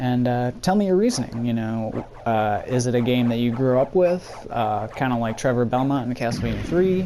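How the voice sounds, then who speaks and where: A man's medium-pitched voice with ordinary pitch variation and music in the background. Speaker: video game streamer. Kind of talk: gameplay commentary. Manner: hesitant fillers.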